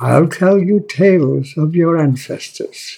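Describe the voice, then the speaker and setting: A man with a northern English accent, a dark, mellow tone and a somewhat breathy sound, at a very slow pace. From northern England. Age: 90s. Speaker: author. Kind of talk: reading aloud. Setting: pub.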